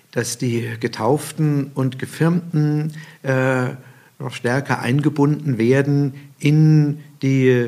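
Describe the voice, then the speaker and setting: The voice belongs to a man. It has a medium pitch. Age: 60s. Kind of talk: interview.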